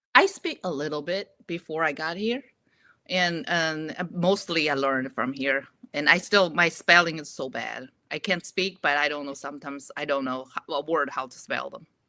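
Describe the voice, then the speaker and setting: In a very clean recording with a silent background, a woman with a Chinese accent speaks at a moderate pace in a very deep, low pitch, her tone bright and sharp and her pitch variation ordinary. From Inner Mongolia, China. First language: Mandarin Chinese. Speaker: actor. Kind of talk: interview. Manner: halting.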